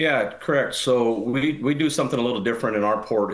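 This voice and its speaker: Here a man talks at a very fast pace. His intonation stays fairly even. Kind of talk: interview answer. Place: home room. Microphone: video call.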